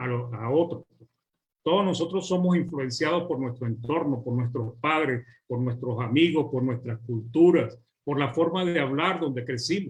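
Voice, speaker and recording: With a Venezuelan accent, a man speaks at a fairly high pitch, somewhat breathy. His pace is moderate and his pitch variation ordinary. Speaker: preacher. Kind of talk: sermon.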